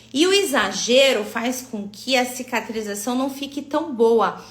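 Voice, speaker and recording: Lively intonation marks this very slow speech, heard with audible room echo. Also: woman. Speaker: aesthetic physiotherapy instructor. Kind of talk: online live class. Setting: live stream.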